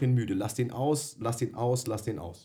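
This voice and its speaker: A somewhat breathy, dark, mellow tone at a moderate pace, in a very clean recording with a silent background. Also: man. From Bavaria, Germany. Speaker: dog trainer, podcast co-host. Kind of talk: casual chat.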